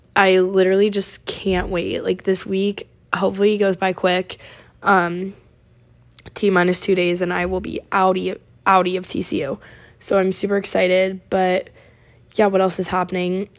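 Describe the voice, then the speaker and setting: The speaker talks at a moderate pace with a West Coast accent and monotone, flat intonation. Long, frequent pauses break up the speech on a very clean recording with a silent background. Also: woman, medium pitch for a woman. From Oregon. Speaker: podcast host, college student. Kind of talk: casual solo chat. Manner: chatty, many fillers.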